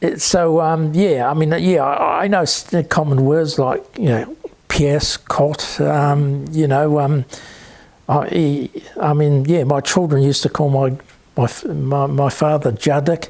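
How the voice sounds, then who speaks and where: With a New Zealand accent, a man speaks at a fairly high pitch, his intonation fairly even and his loudness very even. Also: fairly slow pace. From New Zealand (Auckland area). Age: 70s. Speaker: interviewee, son of Polish immigrant. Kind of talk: interview. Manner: halting, stammering; many fillers (um, yeah).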